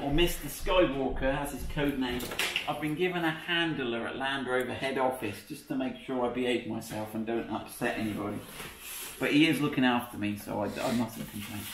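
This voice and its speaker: Through light background noise and audible room echo, a man talks at a fairly quick pace with ordinary pitch variation. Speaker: presenter. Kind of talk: casual tutorial chat. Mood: jokey, laughing. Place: workshop. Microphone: camera far.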